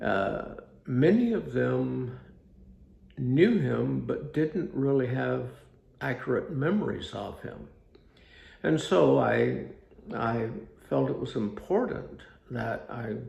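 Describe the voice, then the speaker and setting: A man speaking at a very slow pace, with long, frequent pauses and audible room echo. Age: 80s+. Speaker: author reading his own book. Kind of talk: reading aloud. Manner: halting.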